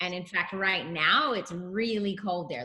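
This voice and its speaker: This woman's tone is bright and sharp at a medium pitch with ordinary pitch variation. She talks at a fairly slow pace. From Australia, Melbourne. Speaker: artist and actress. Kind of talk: casual interview chat.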